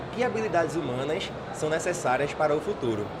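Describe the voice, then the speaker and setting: A man's fairly high voice at a moderate pace, with lively intonation, noticeable background noise and audible room echo. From Pernambuco, Brazil (Paulista). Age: 20s. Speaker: young community leader. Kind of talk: interview. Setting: studio.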